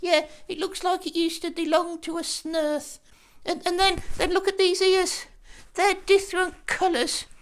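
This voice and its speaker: This cartoonish character voice is pitched extremely high. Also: moderate pace. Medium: puppet.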